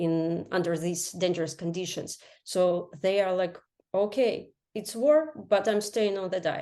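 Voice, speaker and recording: Against a quiet background, a woman with a Ukrainian accent speaks at a medium pitch in a dark, mellow tone with fairly even intonation. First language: Ukrainian or Russian. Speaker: health coach. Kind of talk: interview. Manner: halting, many fillers.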